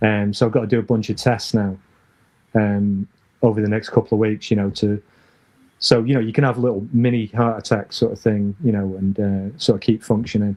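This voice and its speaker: A man with a northern English accent, fairly low pitch, monotone, flat intonation and a fairly quick pace. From northern England. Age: 60s. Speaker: former BMX rider. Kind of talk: casual interview chat.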